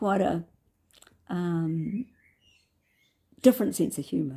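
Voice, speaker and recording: A woman with a New Zealand accent, a dark, mellow, somewhat breathy tone, lively intonation and a very slow pace. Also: fairly low pitch for a woman. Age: 70s. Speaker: vlogger. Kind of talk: personal reflective monologue. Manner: halting.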